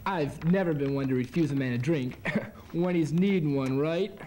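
A man speaks at a moderate pace. Light background noise is present. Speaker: actor in a scene. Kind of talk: acted dialogue. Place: gym.

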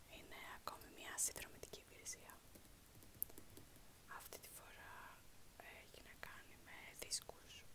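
A woman talks at a fairly slow pace, leaving long, frequent pauses. Loud background noise runs behind her. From Greece. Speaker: ASMR creator. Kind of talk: casual talk to camera, unboxing. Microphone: phone near.

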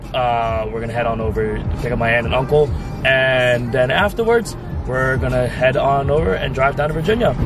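Music plays behind a man talking at a moderate pace. The sound is dry with no echo. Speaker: vlogger. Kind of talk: casual vlog chat. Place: car.

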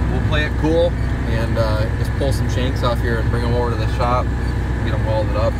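Loud background noise fills the recording. The speech runs at a fairly quick pace. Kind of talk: casual vlog chat. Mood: relaxed, content. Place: farm machine. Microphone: phone near.

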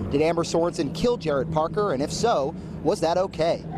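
A man speaks with ordinary pitch variation. The sound is dry with no echo, though background noise is noticeable. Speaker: TV news reporter. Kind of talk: live news report. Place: street. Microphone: handheld.

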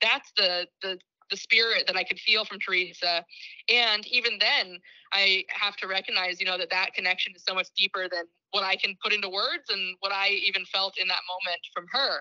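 A woman speaks in an unremarkable speaking voice at medium pitch and a moderate pace. Her intonation is fairly even, with big swings in loudness. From Six Nations of the Grand River, Ontario, Canada. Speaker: nonprofit executive director. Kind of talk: lecture.

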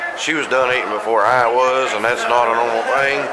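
Crowd noise fills the background. A man talks at a fairly quick pace. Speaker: food vlogger. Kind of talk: casual vlog chat. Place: cafe. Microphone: phone near.

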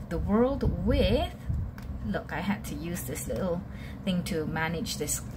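Background noise is noticeable here. The voice belongs to a woman. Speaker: tarot reader. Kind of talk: tarot reading talk to viewers. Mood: warm, calm.

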